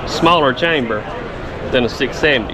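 With clear background noise behind him, a man talks with ordinary pitch variation.

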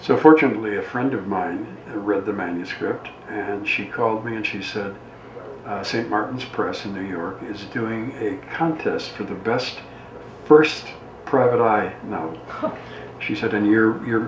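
The man here talks at a fairly slow pace with ordinary pitch variation. Audible room echo and light background noise accompany him. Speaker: guest. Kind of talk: interview answer. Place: studio.

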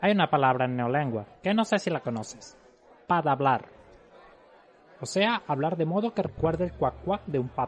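Speaking at a moderate pace, a man has fairly high pitch and lively intonation. His loudness swings widely, and he leaves long, frequent pauses. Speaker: audiobook narrator. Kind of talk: audiobook character dialogue. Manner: thoughtful, didactic character voice.

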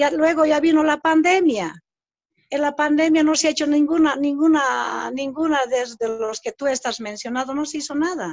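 Moderate pace, ordinary pitch variation and a high pitch in a woman's voice. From Bolivia, El Alto. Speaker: former government minister, diplomat. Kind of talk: interview. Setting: video call. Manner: halting.

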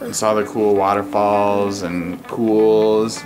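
A man speaks with clear music in the background. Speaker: father vlogger. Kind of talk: casual vlog chat. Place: home room. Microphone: camera far.

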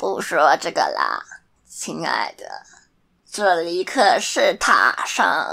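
A raspy, put-on character voice moves at a very slow pace with long, frequent pauses on a very clean recording with a silent background.

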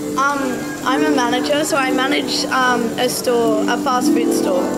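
A woman speaking at a fairly slow pace over loud background music. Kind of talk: casual conversation. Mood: cheerful, laughing. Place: bar. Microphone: camera far.

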